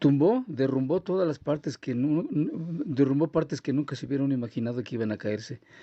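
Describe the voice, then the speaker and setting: The man talks at a moderate speed. Ordinary variation runs through his pitch. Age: 60s. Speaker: earthquake eyewitness. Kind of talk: interview testimony. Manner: halting.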